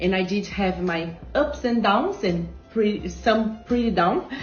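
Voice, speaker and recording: A woman with a Portuguese accent, a medium pitch and ordinary pitch variation, with music in the background and audible room echo. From Brazil. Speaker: entrepreneur. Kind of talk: interview.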